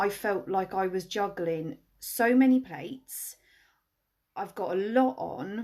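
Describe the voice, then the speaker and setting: A woman with a Welsh accent, medium pitch, lively intonation, a very slow pace and long, frequent pauses against a quiet background. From Wales. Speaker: wedding planner. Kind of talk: live stream tips talk. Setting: Instagram live video. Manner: casual, chatty.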